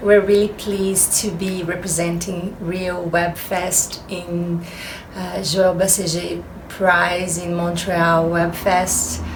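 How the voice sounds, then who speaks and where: A woman with a Brazilian accent speaks at a very slow pace in a fairly low, flat monotone, with noticeable background noise and audible room echo. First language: Portuguese. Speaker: actress and producer. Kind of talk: interview. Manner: halting, many filler pauses.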